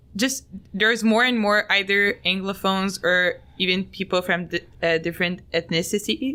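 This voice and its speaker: A woman's medium-pitched voice with a Quebec accent, a bright, sharp tone, and very even loudness. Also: ordinary pitch variation, moderate pace. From Montreal, Quebec. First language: French. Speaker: podcast host. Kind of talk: casual chat.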